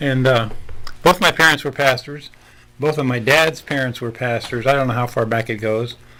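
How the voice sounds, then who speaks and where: Bright, sharp tone from a man with a Midwestern US accent, his intonation fairly even. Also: medium pitch for a man, moderate pace. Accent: US Midwest. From Nebraska. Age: 70s. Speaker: pastor. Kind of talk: podcast interview.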